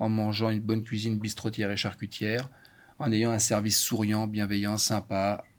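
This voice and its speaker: A normal speaking voice moves at a moderate pace in a very clean recording with a silent background. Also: man. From France. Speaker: chef. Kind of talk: casual chat.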